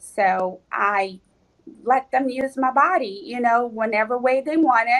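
A woman's high voice at a fairly slow pace. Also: ordinary pitch variation. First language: Portuguese. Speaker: physical medium. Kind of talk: casual interview.

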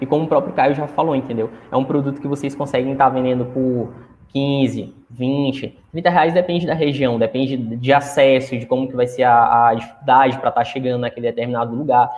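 Using a plain, everyday voice, a man talks fairly quickly at medium pitch with fairly even intonation. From Maranhão, Brazil (Chapadinha). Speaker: small business owner. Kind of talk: live stream interview. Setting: live stream.

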